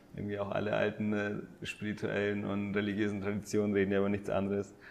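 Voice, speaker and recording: A man rattles off his words very fast with noticeable background noise behind him. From Bavaria, Landsberg am Lech area. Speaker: breathwork and mindfulness coach. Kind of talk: casual interview conversation. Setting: in person at host's home. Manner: hesitant, many fillers.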